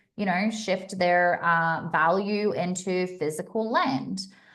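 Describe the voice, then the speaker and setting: At a fairly slow pace, a woman with an American accent talks with ordinary pitch variation, and room echo is audible. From Australia. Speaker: astrology and crypto streamer. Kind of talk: live stream chat. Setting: live stream. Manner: animated.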